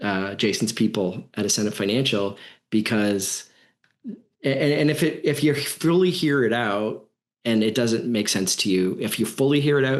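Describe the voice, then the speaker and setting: This man has a plain, everyday voice at medium pitch. He talks at a moderate pace with lively intonation. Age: 50s. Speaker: podcast host, business trainer. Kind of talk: podcast interview.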